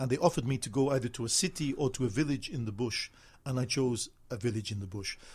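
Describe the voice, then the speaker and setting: The man talks at a very fast pace, somewhat breathy. His pitch is medium, with ordinary variation. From northern England, Manchester. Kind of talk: interview. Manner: halting.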